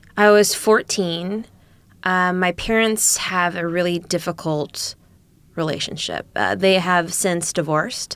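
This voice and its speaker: In an unremarkable speaking voice, a woman with an American accent and a fairly low pitch talks at a fairly slow pace with fairly even intonation on a very clean recording with a silent background. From Minnesota (Eagan, Twin Cities suburb). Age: 30s. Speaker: comedian and actor. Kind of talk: interview.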